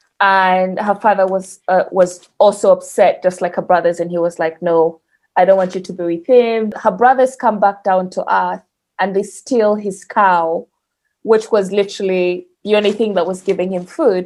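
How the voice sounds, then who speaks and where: In a Ugandan accent, a woman talks with fairly even intonation. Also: medium pitch for a woman, moderate pace. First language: Luganda. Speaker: podcast guest. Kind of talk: casual storytelling chat.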